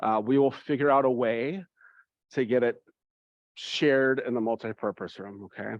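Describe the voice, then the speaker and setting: A man talks at a moderate pace with fairly even intonation. His is a plain, everyday voice. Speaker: church youth confirmation leader. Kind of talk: parent information meeting.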